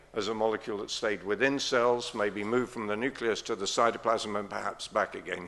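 With a bright, sharp tone, a man speaks at a fairly low pitch in a monotone, flat intonation. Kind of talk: lecture. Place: hall. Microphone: podium.

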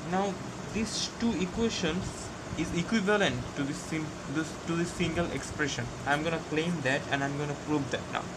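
Loud background noise runs behind the speech. The pitch varies in an ordinary way. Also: man, moderate pace. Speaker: tutor. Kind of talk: tutorial. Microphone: phone near.

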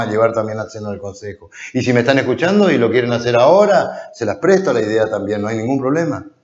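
A man talks at a very fast pace with hardly any pauses and very wide pitch swings. Audible room echo sits over a quiet background. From Corrientes, Argentina. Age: 50s. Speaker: politician, council candidate. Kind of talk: political interview. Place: studio. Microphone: lapel.

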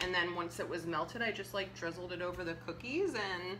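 Over noticeable background noise, a woman with a fairly low pitch speaks at a fairly quick pace with fairly even intonation. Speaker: cooking co-host. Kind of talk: casual cooking demo explanation. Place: kitchen. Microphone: camera far.

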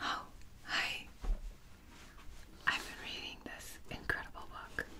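The woman whispers. Her pace is very slow. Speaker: ASMR creator. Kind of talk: ASMR whispered roleplay. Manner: whispered, soft-spoken. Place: home room.

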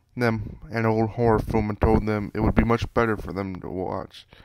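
A man talks at a moderate pace in a fairly low pitch. His intonation is flat and monotone. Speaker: storyteller. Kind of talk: reading aloud. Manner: halting.

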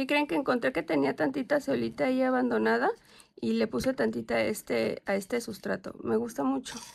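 Against a quiet background, a woman with a fairly low pitch speaks at a fairly quick pace in an animated tone, her pitch swinging very widely while her loudness stays very even. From Mexico, Querétaro; Mexico. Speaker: plant YouTuber. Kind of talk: casual vlog haul. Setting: outdoors in garden. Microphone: phone near.

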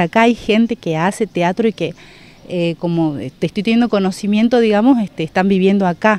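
A woman talks at a fairly quick pace with fairly even intonation. The sound is dry, with no echo. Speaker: theatre teacher. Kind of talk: interview answer. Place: open country. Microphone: handheld.

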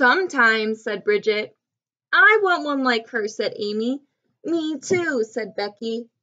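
Straightforward read-aloud text, lively in intonation, over a quiet backdrop

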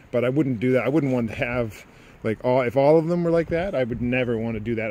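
A man's fairly quick speech with ordinary pitch variation, in a dry sound with no echo and noticeable background noise. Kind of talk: casual vlog chat. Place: garden. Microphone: phone near.

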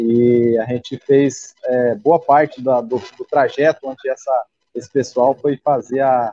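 Against a quiet background, a dark, mellow voice keeps fairly even intonation in a dry sound with no echo. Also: man. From Rondônia, Brazil. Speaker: regional news site owner. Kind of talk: live stream interview. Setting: video call. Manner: halting. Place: home room. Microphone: video call.

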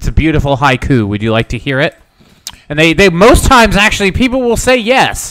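A man's fairly high voice with very wide pitch swings. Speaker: gaming livestream host. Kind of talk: casual livestream chat. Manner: rambunctious.

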